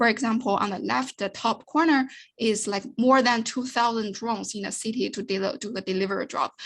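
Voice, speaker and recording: A woman's fairly high voice at a fairly quick pace, with ordinary pitch variation, hardly any pauses and a quiet background. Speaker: researcher presenting work. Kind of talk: conference talk. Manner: fast; halting.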